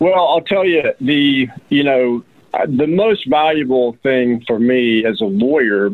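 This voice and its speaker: With an American accent, a man speaks at a very slow pace and medium pitch, his intonation lively. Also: very even loudness. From Georgia, US (Atlanta suburbs). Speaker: personal injury attorney. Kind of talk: interview. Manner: halting, with many fillers.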